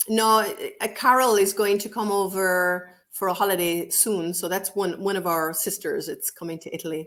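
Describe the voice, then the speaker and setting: With an Irish accent, a woman speaks at a medium pitch and moderate pace, keeping fairly even intonation and hardly any pauses. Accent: Irish lilt. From Ireland. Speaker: co-author and English teacher. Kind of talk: casual interview chat.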